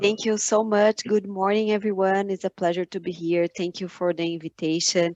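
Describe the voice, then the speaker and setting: A woman talks at a moderate pace and medium pitch with monotone, flat intonation. The sound is dry and close, with no echo. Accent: Brazilian. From Brazil, São Paulo state. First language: Portuguese. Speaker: finance entrepreneur, conference speaker. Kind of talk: conference talk. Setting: video call webinar. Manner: halting, many fillers and repeats.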